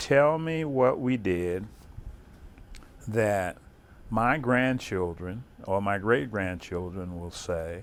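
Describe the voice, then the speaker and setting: A man is speaking. His pace is very slow. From southern Maryland, US. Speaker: war veteran. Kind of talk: oral history interview. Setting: interview in an office building. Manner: halting, repeats words.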